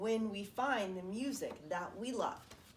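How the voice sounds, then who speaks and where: A woman performs in a put-on character voice with ordinary pitch variation against clear background noise. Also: medium pitch for a woman, fairly slow pace. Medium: read story.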